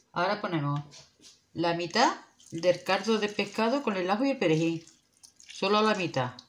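A woman at a moderate pace, lively in intonation, with long, frequent pauses. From Spain. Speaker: cooking video creator. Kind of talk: cooking tutorial. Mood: warm, friendly. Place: kitchen.

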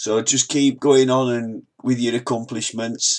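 In a Yorkshire accent, a man speaks at a fairly slow pace with monotone, flat intonation. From northern England, Wakefield, Yorkshire. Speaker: motivational vlogger. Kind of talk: motivational talk reading quotes. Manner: halting, repeats words.

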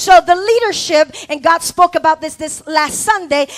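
Noticeable background noise sits behind a woman's animated tone. Her pitch varies in an ordinary way. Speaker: preacher / pastor. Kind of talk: sermon to a live congregation, call-and-response. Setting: church with congregation. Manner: animated, exhortative, rhetorical questions to the crowd; emphatic, repeating phrases for effect.

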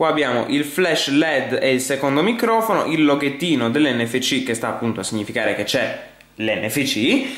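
A man speaks at a moderate pace, with audible room echo. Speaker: tech reviewer. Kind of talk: product review commentary. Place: home room. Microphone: camera far.

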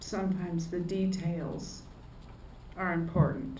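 A woman speaks slowly at a fairly low pitch, with little pitch movement. Her tone is slightly mellow, and room echo is audible.

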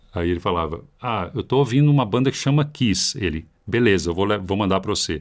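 A man talks at a fairly quick pace in a fairly low pitch, using a normal speaking voice. The background is quiet. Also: lively intonation, hardly any pauses. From Brazil. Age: 50s. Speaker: heavy metal guitarist; podcast guest. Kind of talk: casual chat. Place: studio. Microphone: studio mic.

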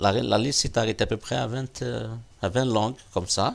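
A man speaks. His voice has vocal fry. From Algeria, Kabylie; Algeria. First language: Kabyle (speaking French). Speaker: teacher and TV project founder; talk show guest. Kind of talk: interview. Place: studio. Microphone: lapel.

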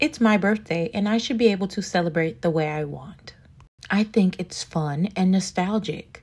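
Somewhat breathy, a woman at a medium pitch talks at a moderate pace with lively intonation. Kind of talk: comedic confession story to camera.

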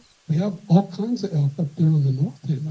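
Speaking at a moderate pace in an American accent, a man has a high pitch, ordinary pitch variation and a dark, mellow tone. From Eastern Idaho. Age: 60s. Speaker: rancher. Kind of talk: public hearing testimony. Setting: council meeting.

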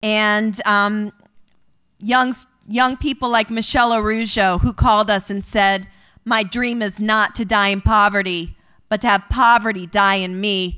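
A woman speaks at a fairly high pitch with fairly even intonation. Faint music sits in the background. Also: fairly slow pace. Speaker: storyteller at an event. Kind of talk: pep talk; storytelling speech. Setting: stage with audience. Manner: earnest, inspirational. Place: stage. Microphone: podium.

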